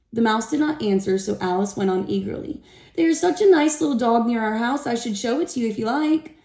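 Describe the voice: Lively intonation in plain reading aloud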